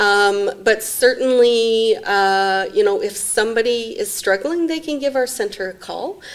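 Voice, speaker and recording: A woman with a Canadian accent speaks at a fairly slow pace in a fairly high voice, her lively intonation running with hardly any pauses over noticeable background noise. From Saskatchewan/Alberta border, Canada. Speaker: executive director of a mental health non-profit. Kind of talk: interview.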